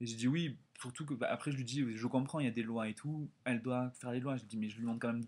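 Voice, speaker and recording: The recording is very clean and the background silent. A man talks very fast. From France. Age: 20s. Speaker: exchange student vlogger. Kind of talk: casual vlog storytelling. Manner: animated.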